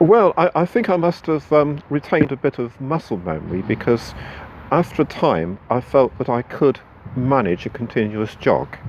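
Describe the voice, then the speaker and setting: A man speaks at a moderate pace and medium pitch, his voice swinging very widely in pitch over noticeable background noise. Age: 60s. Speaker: running club member. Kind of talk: interview. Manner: halting.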